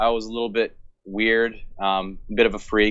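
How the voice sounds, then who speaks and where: Pitched medium, a man's voice moves along at a moderate pace. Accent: American. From US Pacific Northwest, rural Washington State. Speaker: musician and English teacher. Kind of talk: podcast interview. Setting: online call.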